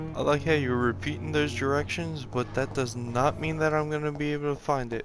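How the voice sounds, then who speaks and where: Quietly and at a fairly quick pace, a man with a medium pitch speaks with lively intonation while music plays in the background. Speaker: gamer playing a video game. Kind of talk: let's play commentary. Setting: at home on a couch. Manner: quiet, subdued.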